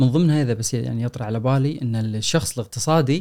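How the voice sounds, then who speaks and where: A man uses an ordinary speaking voice at a medium pitch, talking at a moderate pace with ordinary pitch variation. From Kuwait. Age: 40s. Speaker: personal finance author and lecturer. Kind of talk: casual chat.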